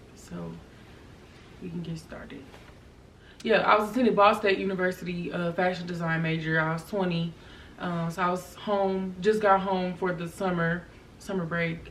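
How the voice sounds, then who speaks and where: A woman with a fairly low pitch talks at a moderate pace in a flat monotone, leaving long, frequent pauses, her loudness swinging widely over noticeable background noise and audible room echo. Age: 20s. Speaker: vlogger. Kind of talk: personal testimony. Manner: hesitant, many fillers.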